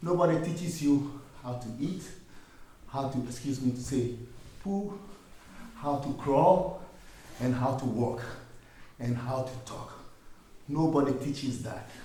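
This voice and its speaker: Fairly slow, medium-pitched speech from a man with ordinary pitch variation and long, frequent pauses, plus audible room echo and noticeable background noise. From Ghana. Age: 60s. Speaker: musician. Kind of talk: workshop talk.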